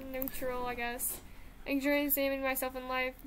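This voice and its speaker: A loud, high-pitched woman's voice with flat, monotone intonation. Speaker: YouTuber taking a personality test. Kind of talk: casual chat.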